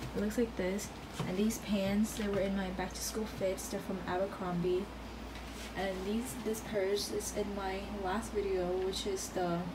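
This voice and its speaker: A woman speaking at a fairly slow pace amid noticeable background noise. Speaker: vlogger. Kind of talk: casual vlog chat. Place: home room. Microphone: phone near.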